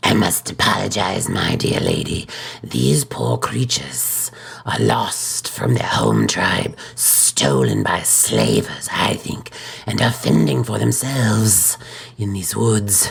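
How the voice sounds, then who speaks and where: Putting on a raspy character voice, a man speaks at a fairly slow pace with a very deep, low pitch and very wide pitch swings. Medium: solo performance. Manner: gentle but stern.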